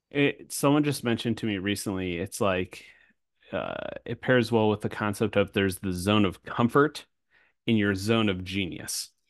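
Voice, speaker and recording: This is an unremarkable speaking voice from a man, fairly low in pitch. He keeps a moderate pace with ordinary pitch variation. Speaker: podcast host. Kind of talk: casual unscripted interview. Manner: casual, upbeat.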